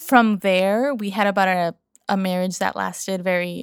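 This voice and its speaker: An unremarkable speaking voice from a woman at medium pitch, moderate pace and fairly even intonation, dry and close with no echo on a very clean recording with a silent background. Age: 30s. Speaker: podcaster and business owner. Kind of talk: casual interview chat.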